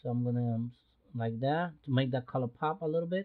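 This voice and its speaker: A man with a non-native accent speaks at a fairly high pitch. His pitch varies in an ordinary way. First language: not English. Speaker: photography youtuber. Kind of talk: tutorial. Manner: halting, many fillers; casual.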